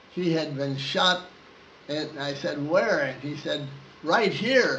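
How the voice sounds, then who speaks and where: A man at a very slow pace, with ordinary pitch variation and noticeable background noise. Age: 80s+. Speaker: war veteran. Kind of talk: interview answer.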